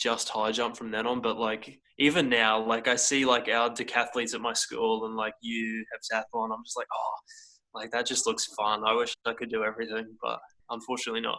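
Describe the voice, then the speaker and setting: The voice has an Australian accent, a bright, sharp tone, monotone, flat intonation and a fairly quick pace. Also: man, medium pitch for a man. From Townsville, North Queensland, Australia. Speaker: athlete. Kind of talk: casual interview. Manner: hesitant, many fillers.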